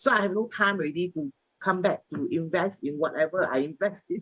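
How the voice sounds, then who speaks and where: With a plain, everyday voice, a woman talks at a moderate pace and fairly low pitch with ordinary pitch variation, the sound dry and close with no echo. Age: 60s. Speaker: bank worker and property agent. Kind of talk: casual interview.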